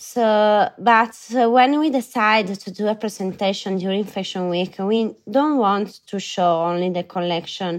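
A woman with an Italian accent speaks at a fairly slow pace with hardly any pauses, her pitch medium and its variation ordinary. The recording is very clean, with a silent background. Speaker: fashion brand co-founder. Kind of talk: interview. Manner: halting.

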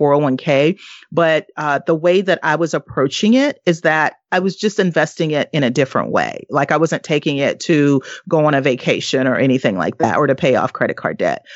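With an American accent, a woman speaks in a very deep, low pitch. She talks at a fairly quick pace with ordinary pitch variation. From US South. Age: 40s. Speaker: retired corporate employee and investor. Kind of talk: interview.

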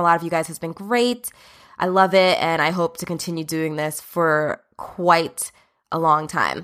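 In a very clean recording with a silent background, a woman talks in a fairly low pitch with ordinary pitch variation. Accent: New Jersey. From New Jersey. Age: 30s. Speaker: podcast host and OBGYN doctor. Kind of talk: casual monologue.

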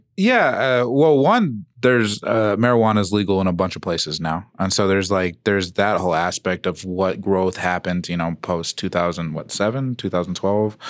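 A man with a plain, everyday voice speaks at a fairly low pitch and moderate pace with ordinary pitch variation and hardly any pauses, on a very clean recording with a silent background. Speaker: stand-up comedian. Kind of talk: casual chat. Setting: studio.

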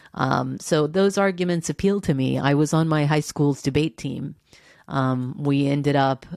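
This woman has a very deep, low pitch and an American accent, with ordinary pitch variation. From Texas. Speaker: journalist. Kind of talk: interview.

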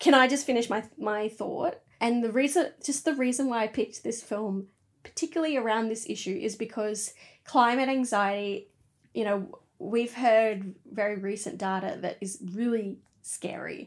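A woman speaks with an Australian accent. Her pitch is fairly high, with ordinary variation. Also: moderate pace. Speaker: podcast host. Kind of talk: casual chat.

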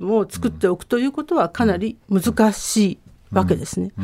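The speaker is a woman. It is a very clean recording with a silent background. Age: 50s. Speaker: radio commentator and university professor. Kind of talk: radio commentary segment.

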